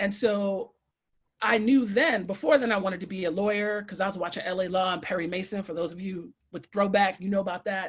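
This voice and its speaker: With an American accent, a woman speaks in an animated tone at a fairly quick pace. Her voice is somewhat breathy and sits at a medium pitch. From Brooklyn, New York. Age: 40s. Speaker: educator. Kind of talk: panel talk.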